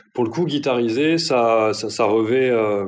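Medium-pitched male speech at a moderate pace, fairly even in intonation, with audible room echo and noticeable background noise. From southern France, Marseille area. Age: 30s. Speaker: journalist. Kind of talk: interview. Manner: hesitant, with fillers and repetitions.

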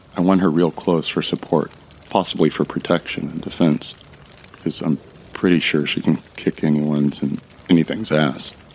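This man has a very deep, low voice and fairly even intonation at a moderate pace. Noticeable background noise runs underneath. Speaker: fiction narrator. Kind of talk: scripted first-person audio drama narration. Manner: hushed, tense, dramatic narration.

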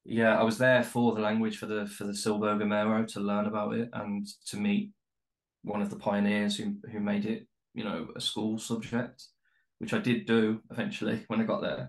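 Speaking with a Birmingham accent, a man talks at a fairly low pitch and moderate pace in a monotone, flat intonation. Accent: Birmingham (Brummie). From West Midlands, Birmingham. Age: 30s. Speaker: travel writer. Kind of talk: casual chat. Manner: halting, many fillers.

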